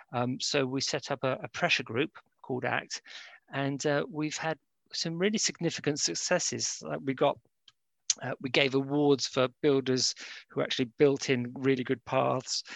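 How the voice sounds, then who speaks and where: Fairly high pitch from a man with a London accent, moderate pace and ordinary pitch variation, dry and close with no echo against a quiet background. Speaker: university lecturer. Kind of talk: casual interview. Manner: hesitant, many fillers.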